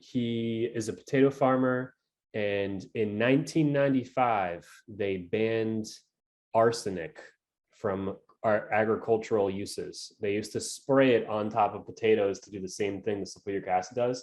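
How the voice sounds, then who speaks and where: A man with a New England accent talks at a moderate pace and medium pitch, using ordinary pitch variation and big swings in loudness against a quiet background. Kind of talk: casual conversational.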